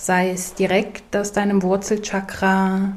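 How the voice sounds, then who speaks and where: Speaking very slowly, a woman uses a calm, soothing tone at medium pitch with monotone, flat intonation. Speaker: meditation guide. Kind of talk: guided meditation. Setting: studio, with soft ocean wave sounds in the background. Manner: slow, calm, soothing, gentle pacing with long pauses; soft-spoken, warm, inviting.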